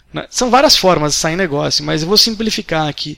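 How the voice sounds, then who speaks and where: Lively intonation runs through this man's speech. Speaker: day trader. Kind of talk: interview. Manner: halting.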